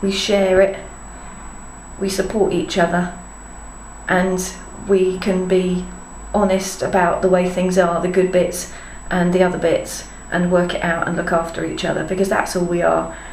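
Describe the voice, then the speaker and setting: A woman speaks at a medium pitch in a monotone, flat intonation, with long, frequent pauses. Audible room echo and noticeable background noise fill the recording. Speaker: parenting blogger. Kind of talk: casual vlog monologue. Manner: fast; rambling, chatty.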